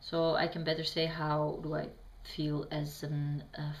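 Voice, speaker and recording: In a Bosnian accent, a woman speaks fairly slowly in a very deep, low, somewhat breathy voice with fairly even intonation and audible room echo. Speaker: vlogger answering questions. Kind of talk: reading prepared answers to camera. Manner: halting, many fillers.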